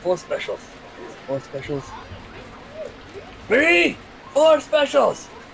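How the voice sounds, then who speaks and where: A man speaks loudly and gruffly in a put-on character voice at a fairly slow pace, with clear background noise behind him. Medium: actual play. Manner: gruff, loud.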